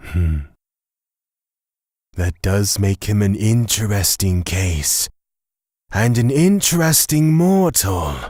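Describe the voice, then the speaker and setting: In a very clean recording with a silent background, a man uses a put-on character voice at fairly low pitch. He goes at a very slow pace with long, frequent pauses. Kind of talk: audio drama.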